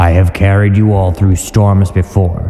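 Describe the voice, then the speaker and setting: A man performs a put-on character voice. He pitches it very deep and low. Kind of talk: comic dub. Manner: commanding, stern.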